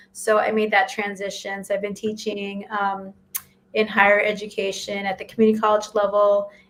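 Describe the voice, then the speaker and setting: There is noticeable background noise. Through it, a woman's voice comes through. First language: not English. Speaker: college professor. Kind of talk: casual panel chat on a live stream. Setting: live video stream.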